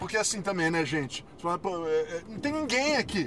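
Over noticeable background noise, a man speaks at a fairly slow pace with very wide pitch swings. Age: 40s. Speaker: podcast co-host. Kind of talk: casual chat. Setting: in a car.

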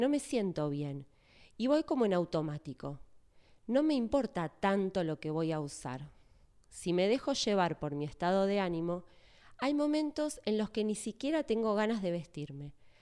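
With a Rioplatense accent, a woman speaks at medium pitch in a dark, mellow tone, her pitch swinging very widely against a quiet background. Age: 40s. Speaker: church speaker. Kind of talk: sermon.

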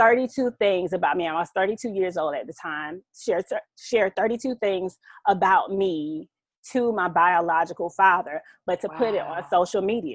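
With a Southern US accent, a woman at medium pitch speaks at a moderate pace with ordinary pitch variation, the sound dry and close with no echo. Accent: Southern US (Georgia). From Southeast Georgia, US South. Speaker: author and mother. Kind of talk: casual chat.

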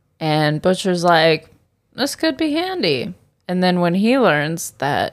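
Over a silent background on a very clean recording, a woman speaks very slowly in a fairly low voice. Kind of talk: casual chat. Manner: joking, doing accents.

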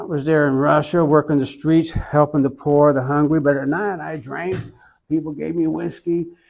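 The speaker has an Oklahoma accent and a monotone, flat intonation. The pace is moderate against a quiet background. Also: man, fairly high pitch for a man. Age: 70s. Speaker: iconographer. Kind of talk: interview.

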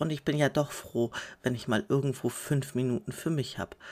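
The speaker goes at a fairly slow pace in a very clean recording with a silent background. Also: woman. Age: 30s. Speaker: podcaster and mother of five. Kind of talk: casual monologue.

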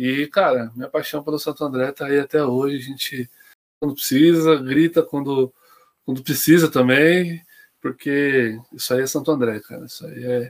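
In a dry, close recording with no echo, a man with an unremarkable speaking voice talks at a moderate pace, his fairly high pitch held to fairly even intonation while his loudness swings widely. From Greater São Paulo (ABC region), Brazil. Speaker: football supporter. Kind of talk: casual chat. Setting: online live stream.

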